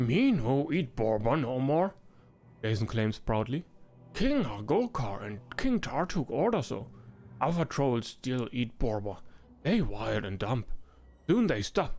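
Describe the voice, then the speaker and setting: Over music in the background, a man uses a put-on character voice at a fairly slow pace, leaving long, frequent pauses. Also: medium pitch for a man. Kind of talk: video game voice acting. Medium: actual play. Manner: broken, simple speech.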